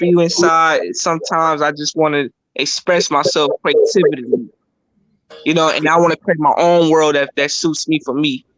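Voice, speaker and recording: A man's normal speaking voice, fairly high in pitch, at a moderate pace, dry and close with no echo. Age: young. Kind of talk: casual chat.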